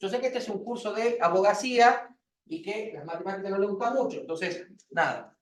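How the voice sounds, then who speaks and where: A man's high-pitched voice at a fairly quick pace, with ordinary pitch variation. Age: 40s. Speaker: university lecturer. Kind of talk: lecture. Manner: fast.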